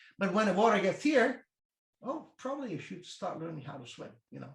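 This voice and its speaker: A man with an Italian accent speaks at a fairly quick pace. His intonation is lively. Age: 50s. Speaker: strength coach. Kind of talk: interview.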